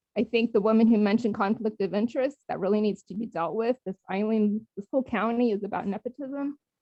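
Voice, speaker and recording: Here is a woman with an ordinary speaking voice and fairly high pitch. She talks at a fairly quick pace with ordinary pitch variation. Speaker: public commenter at town hall. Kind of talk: public comment. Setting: phone call into video meeting. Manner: emotional.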